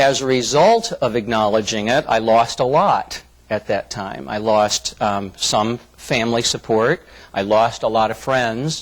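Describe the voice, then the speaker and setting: Here is a man with an American accent and a normal speaking voice. His pitch is medium with ordinary variation, and he talks at a fairly slow pace. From US Midwest, Flint, Michigan. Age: 50s. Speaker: diversity trainer. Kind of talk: corporate presentation.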